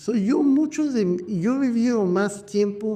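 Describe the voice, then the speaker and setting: A man with an American accent at a very slow pace, with audible room echo. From New York, US. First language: English (speaking Spanish). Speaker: physician, show host. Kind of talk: casual chat.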